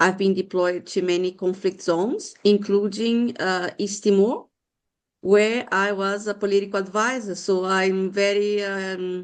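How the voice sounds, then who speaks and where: Speaking at a fairly slow pace, a woman with a Brazilian accent holds a medium pitch in a monotone, flat intonation. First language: Portuguese. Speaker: former UN peacekeeper. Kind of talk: casual meeting update.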